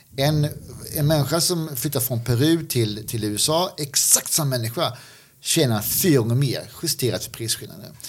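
A fairly high-pitched man speaks at a moderate pace, his pitch varying in an ordinary way, while noticeable background noise runs underneath. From Skåne, southern Sweden. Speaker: podcast co-host. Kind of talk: casual Q&A discussion.

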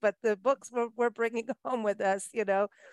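A woman talks at a moderate pace, her voice captured with a dry, close sound with no echo. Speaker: podcast host. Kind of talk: interview. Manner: animated.

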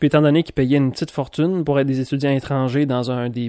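In a dry, close recording with no echo, a man with a Quebec accent speaks at a medium pitch and fairly quick pace, his tone dark and mellow and his intonation fairly even. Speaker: podcast host. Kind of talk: solo monologue podcast.

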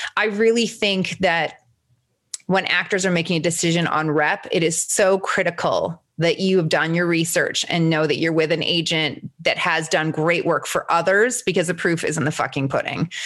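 A woman speaks at a moderate pace in a plain, everyday voice. Her pitch sits fairly low, and her intonation stays fairly even. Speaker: talent agent podcast host. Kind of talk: casual chat.

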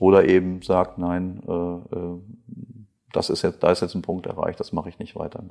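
With a slight North Rhine-Westphalian accent, a man speaks in a very deep, low pitch and a dark, mellow tone, his intonation monotone and flat amid big swings in loudness. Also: moderate pace. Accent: slight North Rhine-Westphalia. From western Germany, Krefeld (North Rhine-Westphalia). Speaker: company managing director, chemist. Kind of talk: interview. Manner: hesitant, many fillers and repetitions.

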